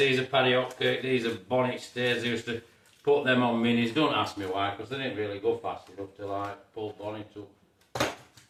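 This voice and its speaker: With a Yorkshire accent, a man speaks at a moderate pace in a medium pitch, his intonation fairly even. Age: 60s. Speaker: car restorer. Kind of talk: casual show-and-tell video. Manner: halting, many fillers.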